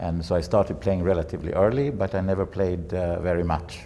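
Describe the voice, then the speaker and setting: The speaker has a Swedish accent and keeps a moderate pace. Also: man. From Sweden. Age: 70s. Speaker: bridge federation president. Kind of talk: interview. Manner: halting.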